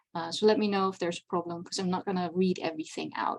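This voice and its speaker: In a Dutch accent, a woman speaks at a medium pitch and a fairly quick pace. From Netherlands. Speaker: convention panel presenter. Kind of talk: lecture.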